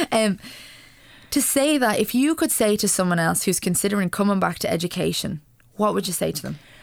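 In a very clean recording with a silent background, a woman at medium pitch speaks fairly quickly with an Irish accent and vocal fry. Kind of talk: radio interview. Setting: studio.

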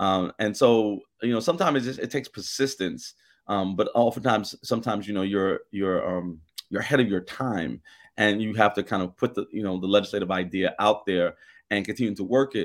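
A man speaks in a plain, everyday voice at a fairly quick pace, with a fairly low pitch and ordinary pitch variation. The recording is very clean with a silent background. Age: 50s. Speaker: state senator. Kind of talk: radio interview.

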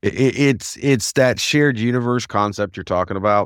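A man with an American accent has a plain, everyday voice. He speaks at a moderate pace in a very clean recording with a silent background. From US South. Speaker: podcast co-host. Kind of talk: casual chat.

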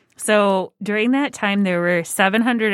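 A normal speaking voice belongs to a woman talking at a moderate pace, with a medium pitch and ordinary pitch variation. The recording is very clean, dry and close, with a silent background and no echo. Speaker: podcast host. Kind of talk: casual chat.

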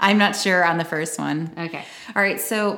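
Speaking with an American accent, a woman has a fairly low pitch. She keeps a moderate pace. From Chicago area, US Midwest. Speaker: podcast co-host. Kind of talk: casual chat.

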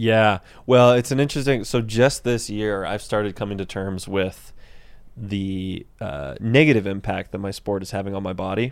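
In a normal speaking voice, a man with an American accent talks at a fairly low pitch with ordinary pitch variation, on a very clean recording with a silent background. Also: moderate pace. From Central Texas. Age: 20s. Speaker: professional mountain bike racer. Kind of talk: casual chat. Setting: studio.

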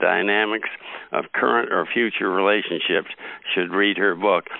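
A normal speaking voice from a man, fairly low in pitch, moderate in pace, with fairly even intonation. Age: 50s. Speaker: podcast host. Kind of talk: interview.

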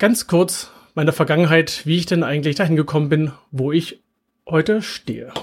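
Here is a man with an ordinary speaking voice. He keeps a moderate pace and ordinary pitch variation. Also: fairly high pitch for a man. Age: 40s. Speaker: podcast host and engineering manager. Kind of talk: webinar presentation; podcast monologue. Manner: casual with filler words.

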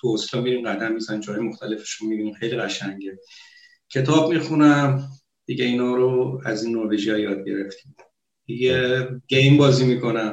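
A man talks at a fairly quick pace with a medium pitch and fairly even intonation. Audible room echo surrounds his voice. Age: 30s. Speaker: computer programmer, Iranian expat in Norway. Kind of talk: casual chat.

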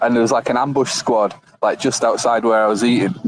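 Noticeable background noise runs behind the voice. The pace is fairly quick. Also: man. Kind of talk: casual group chat. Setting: hotel rooftop, Bangkok.

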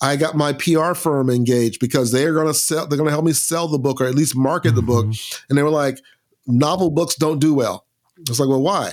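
A man with an American accent and an unremarkable speaking voice, fairly high in pitch, at a fairly quick pace with fairly even intonation and very even loudness, on a very clean recording, silent background. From US South, Lakeland, Florida. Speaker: bass player and author. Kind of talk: interview conversation.

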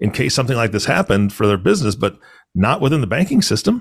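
Talking at a very fast pace, a man uses lively intonation and a medium pitch, somewhat breathy, in a very clean recording with a silent background. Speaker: podcast host. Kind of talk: casual chat. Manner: animated.

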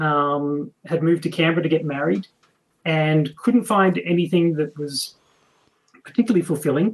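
A male voice comes through in an Australian accent. It sits fairly high for a man. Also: ordinary pitch variation, moderate pace. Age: 40s. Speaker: game designer. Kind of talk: interview.

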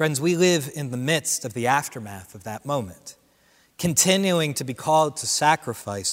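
Using a plain, everyday voice, a man talks at a moderate pace and medium pitch with lively intonation and big swings in loudness. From Central New Jersey. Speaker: associate pastor. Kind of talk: sermon. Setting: church without congregation.

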